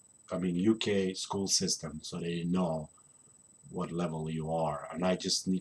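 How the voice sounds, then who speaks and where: A man with a Polish accent talks at a fairly slow pace in monotone, flat intonation. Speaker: land surveyor and gaming vlogger. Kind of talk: casual vlog monologue. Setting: at home recording. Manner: halting, many fillers.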